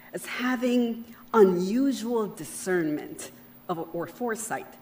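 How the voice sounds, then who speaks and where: A woman is heard over noticeable noise in the background. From Panama. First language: Spanish. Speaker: keynote speaker. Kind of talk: keynote speech. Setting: luncheon event with audience. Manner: formal.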